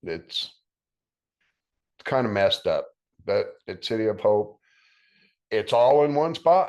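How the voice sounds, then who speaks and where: A man talks fairly slowly with a quiet background behind him. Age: 60s. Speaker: cancer survivor. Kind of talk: testimony. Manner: casual, with fillers.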